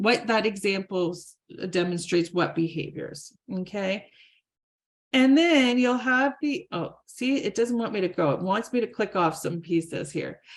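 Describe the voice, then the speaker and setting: A normal speaking voice from a woman at a medium pitch, with lively intonation at a fairly slow pace on a very clean recording with a silent background. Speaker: conference presenter. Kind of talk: presentation with website demo.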